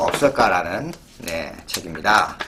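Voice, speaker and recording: A man speaks over noticeable background noise. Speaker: bookstore presenter reading editors' letters. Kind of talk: reading aloud letters; casual presentation. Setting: recorded on camera, indoor setup.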